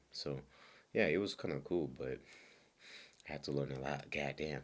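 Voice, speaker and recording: A man speaks with a very deep, low pitch and vocal fry. His pace is moderate and his intonation fairly even. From Congo. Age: 20s. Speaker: podcaster. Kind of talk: casual monologue.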